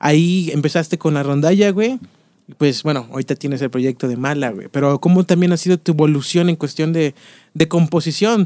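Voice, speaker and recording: A man with a fairly high pitch speaks at a fairly quick pace in a dark, mellow tone. The sound is dry and close with no echo, and his pitch varies in an ordinary way. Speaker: podcast host. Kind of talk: casual interview chat.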